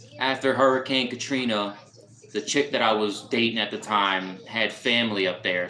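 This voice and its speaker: With noticeable background noise behind him, a man with an American accent speaks in fairly even intonation. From US South, New Orleans. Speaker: live streamer. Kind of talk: casual chat. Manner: casual, halting with repetitions.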